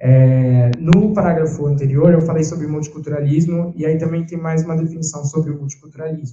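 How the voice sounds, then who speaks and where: A man speaks at a fairly quick pace with hardly any pauses and fairly even intonation. Room echo is audible. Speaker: philosophy undergraduate presenter; presenter. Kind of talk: academic presentation. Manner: reading aloud. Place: classroom. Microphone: handheld.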